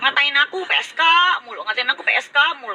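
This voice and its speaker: A woman's raised, projected voice at a fairly quick pace, amid noticeable background noise. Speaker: live streamer. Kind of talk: casual live stream rant. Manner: sounds aggressive, like revving up.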